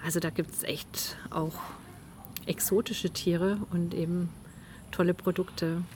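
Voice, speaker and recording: At a fairly low pitch and fairly slow pace, a woman speaks with long, frequent pauses. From Swabian Alb, Germany (Zollernalb area). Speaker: author. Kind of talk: casual interview. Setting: at the guest's home.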